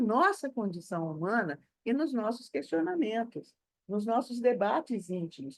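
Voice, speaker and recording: Very wide pitch swings from a woman at a fairly high pitch, her pace fairly slow. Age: 70s. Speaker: spiritist speaker. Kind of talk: online panel discussion.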